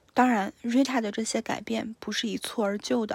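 In a very clean recording with a silent background, a woman speaks with a fairly high, somewhat breathy voice. Her intonation is monotone and flat, her pace moderate, and the sound dry and close with no echo. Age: 20s. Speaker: podcast host. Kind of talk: solo book review monologue.

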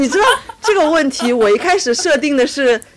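Noticeable background noise sits under the recording. A woman's high voice moves through very wide pitch swings. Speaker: podcast co-host. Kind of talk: casual chat. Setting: remote recording.

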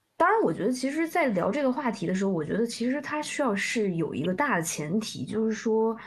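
A woman's voice is somewhat breathy and fairly high in pitch. Her intonation is lively. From southern China. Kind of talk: casual chat. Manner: halting.

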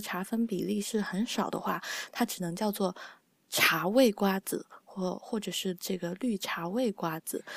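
Soft-spoken at a medium pitch, a woman talks at a moderate pace with fairly even intonation in a dry, close sound with no echo. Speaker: podcast host and editor. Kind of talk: casual chat. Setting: online call.

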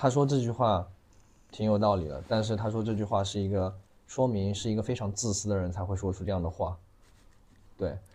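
A man's fairly low, somewhat breathy, dark and mellow voice at a fairly quick pace, with ordinary pitch variation and long, frequent pauses. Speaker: livestream commerce operator. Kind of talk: casual chat.

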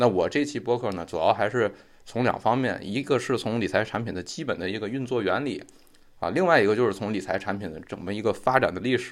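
Speech comes at a very fast pace with ordinary pitch variation on a very clean recording with a silent background. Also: man. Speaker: finance podcast host. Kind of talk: explanatory lecture-style monologue. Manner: improvised with frequent fillers.

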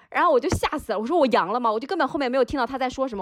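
A woman talks at a very fast pace in a high voice with lively intonation. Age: 40s. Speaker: youth baseball club manager. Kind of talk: casual chat.

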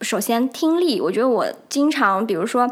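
High pitch from a woman, delivered at a fairly quick pace. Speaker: solo podcast host. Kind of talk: casual monologue. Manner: many filler hesitations.

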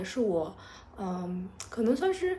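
A woman's voice comes through somewhat breathy. Audible room echo surrounds it. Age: 30s. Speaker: podcast host. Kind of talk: personal storytelling monologue. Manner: hesitant, many filler sounds.

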